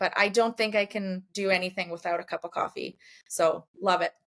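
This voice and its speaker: A woman with a Canadian accent speaks in an ordinary speaking voice at medium pitch and a moderate pace, her intonation fairly even, on a very clean recording with a silent background. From Poland, moved to Canada as a small child. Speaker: brand designer and painter, entrepreneur. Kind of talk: podcast interview. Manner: casual, many fillers.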